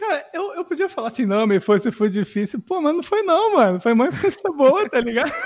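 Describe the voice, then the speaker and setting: A man speaks at an extremely high pitch with very wide pitch swings, at a fairly quick pace. He leaves hardly any pauses over noticeable background noise. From Rio de Janeiro. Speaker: content creator. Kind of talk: casual chat.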